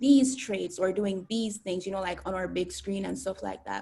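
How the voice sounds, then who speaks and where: A woman in a Jamaican accent, medium-pitched, dark and mellow in tone, somewhat breathy, at a moderate pace. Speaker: student YouTuber. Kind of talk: interview. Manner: hesitant, many fillers; bubbly.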